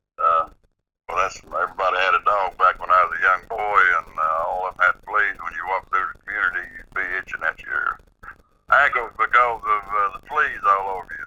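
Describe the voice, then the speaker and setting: Speaking at a fairly quick pace in an Appalachian accent, a man makes big swings in loudness. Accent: Southern US, Appalachian. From East Tennessee, near Knoxville. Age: 70s. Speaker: eyewitness storyteller. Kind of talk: interview, personal account. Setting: phone call on speakerphone. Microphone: speakerphone, disturbance on the line.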